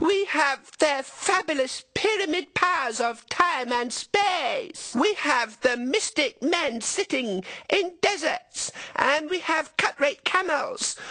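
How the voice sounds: A put-on character voice comes through with a bright, sharp tone and lively intonation. The pace is slow.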